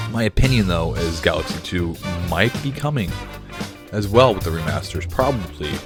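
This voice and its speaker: A man talks at a fairly quick pace in a fairly low pitch. Music plays in the background. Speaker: gaming video host. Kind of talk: casual commentary to camera.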